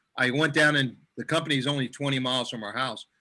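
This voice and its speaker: Recorded very cleanly against a silent background, a man talks at a fairly high pitch with a bright, sharp tone. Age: 70s. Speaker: superfood customer sharing experience. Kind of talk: testimony in group video chat. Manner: halting, many repeated words.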